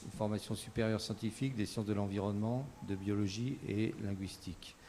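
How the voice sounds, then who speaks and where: In a dark, mellow tone, a man speaks fairly quickly at a fairly low pitch, with monotone, flat intonation and very even loudness. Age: 60s. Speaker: political candidate, ski instructor. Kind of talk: political debate.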